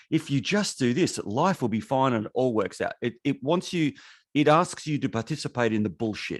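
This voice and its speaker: The speaker has an Australian accent and lively intonation at a moderate pace. The background is quiet. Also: man, medium pitch for a man. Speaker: podcast co-host. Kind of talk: casual chat.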